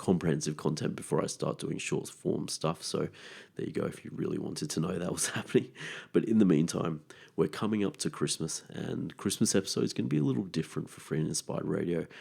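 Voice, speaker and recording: Very fast speech comes in a dark, mellow tone with vocal fry. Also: man, very deep, low pitch for a man, ordinary pitch variation. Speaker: natural medicine podcast host. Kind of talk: podcast monologue.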